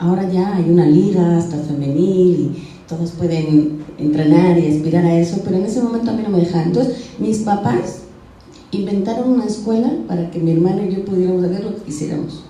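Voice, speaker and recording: Over noticeable background noise and audible room echo, a woman with a fairly low pitch talks at a fairly quick pace with ordinary pitch variation. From Spain. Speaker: radio and television communicator, lexicographer. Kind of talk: motivational talk to schoolgirls.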